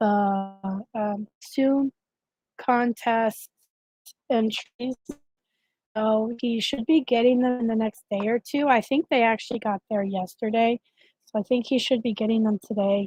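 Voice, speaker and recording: Dark, mellow, somewhat breathy tone in a dry, close recording with no echo. The pace is very slow, with long, frequent pauses and fairly even intonation. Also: woman. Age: 30s. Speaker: advocacy channel live-stream host. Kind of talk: live stream chat. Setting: live stream. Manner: casual, halting with fillers.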